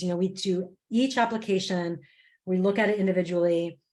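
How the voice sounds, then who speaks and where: Her American accent comes with lively intonation. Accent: American, audible. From United States. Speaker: program manager. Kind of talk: online information session.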